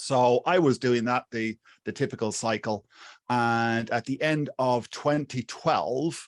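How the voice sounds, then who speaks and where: Against a quiet background, a man speaks very slowly at a medium pitch with ordinary variation, the sound dry and close with no echo. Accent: Irish. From Ireland, Wexford (southeast). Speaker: YouTube marketing coach. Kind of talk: interview. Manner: halting, many fillers and restarts.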